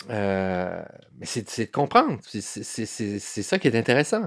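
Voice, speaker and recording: Fairly slow speech from a man with a fairly low pitch, on a very clean recording with a silent background. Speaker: newspaper columnist. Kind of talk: interview conversation. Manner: halting, many repetitions and fillers.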